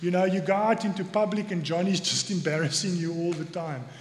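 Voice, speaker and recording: With a South African accent and a high pitch for a man, he talks at a moderate pace with fairly even intonation over noticeable background noise. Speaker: church elder giving sermon. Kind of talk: sermon. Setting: church.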